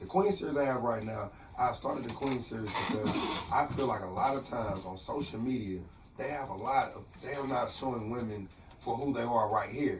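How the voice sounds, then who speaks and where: Amid noticeable background noise and audible room echo, a man talks at a fairly quick pace with ordinary pitch variation. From Texas, Port Arthur. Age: 30s. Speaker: motivational speaker. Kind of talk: radio interview. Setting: radio studio.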